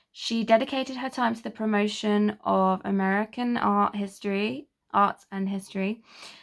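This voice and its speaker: A woman talks in an English accent with medium pitch and fairly even intonation. The recording is very clean, with a silent background. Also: moderate pace, hardly any pauses. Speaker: history YouTuber. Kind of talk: casual history talk.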